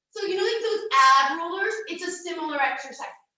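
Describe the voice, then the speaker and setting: A woman speaks at a fairly quick pace with an extremely high pitch. Her pitch variation is ordinary, and the room echo is audible. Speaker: fitness coach. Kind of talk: exercise tutorial.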